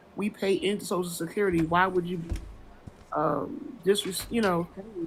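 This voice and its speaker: A woman at a medium pitch talks with ordinary pitch variation. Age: 50s. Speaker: caller. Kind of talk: casual chat.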